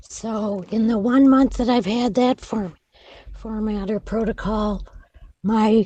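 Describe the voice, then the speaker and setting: A woman's somewhat breathy, dark and mellow voice at a fairly high pitch, very slow in pace, with fairly even intonation. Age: 70s. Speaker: patient. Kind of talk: group video meeting discussion.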